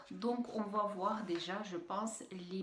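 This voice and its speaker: A woman's medium-pitched voice comes through noticeable background noise and audible room echo. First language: Russian (speaking French). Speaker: beauty youtuber. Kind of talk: product unboxing review. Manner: halting, many hesitations.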